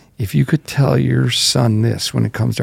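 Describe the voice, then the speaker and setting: A man with an Upper Midwest accent, fairly low-pitched with vocal fry and very wide pitch swings, in a dry, close sound with no echo. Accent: Upper Midwest American. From North Dakota, small town. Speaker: college football head coach. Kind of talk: casual interview.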